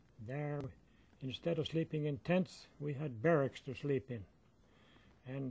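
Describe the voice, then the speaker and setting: Somewhat breathy, a man with an American accent speaks at a fairly slow pace and a fairly high pitch, with ordinary pitch variation. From northern Minnesota. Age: 80s+. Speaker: war veteran. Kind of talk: interview answer.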